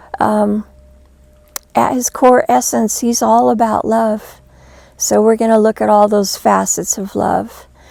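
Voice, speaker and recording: A woman speaks at a fairly slow pace with long, frequent pauses. Noticeable background noise runs underneath. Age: 60s. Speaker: spiritual teacher and near-death experiencer. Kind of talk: inspirational talk.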